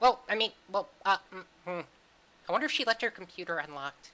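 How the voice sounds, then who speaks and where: In a put-on character voice, a man talks at a fairly quick pace with a high pitch. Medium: actual play. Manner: eager, rambling.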